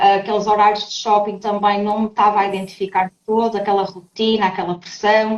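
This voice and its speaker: With a European Portuguese accent, a woman speaks at medium pitch and a fairly quick pace. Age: 30s. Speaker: trainer and people manager. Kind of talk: podcast interview. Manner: animated.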